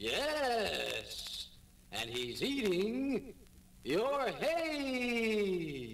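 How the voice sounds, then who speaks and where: Using a put-on character voice with a high pitch, a man speaks over clear background noise. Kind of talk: 1950s children's record. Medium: audio drama.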